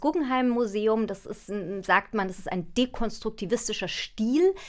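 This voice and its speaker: This woman speaks at a fairly high pitch with lively intonation. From Germany, Munich. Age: 40s. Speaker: philosopher and author. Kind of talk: interview conversation.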